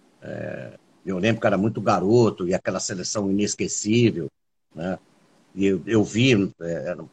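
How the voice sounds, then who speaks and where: A man speaks at a fairly slow pace in a fairly low pitch, with ordinary pitch variation, long and frequent pauses, and big swings in loudness. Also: dry, close sound with no echo. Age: 50s. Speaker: podcast host and musician. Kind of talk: casual chat. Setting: video call.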